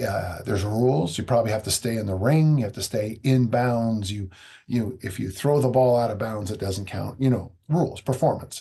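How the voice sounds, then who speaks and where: A man's somewhat breathy, dark, mellow voice with ordinary pitch variation. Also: medium pitch for a man, moderate pace. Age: 60s. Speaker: strength coach. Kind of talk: podcast interview.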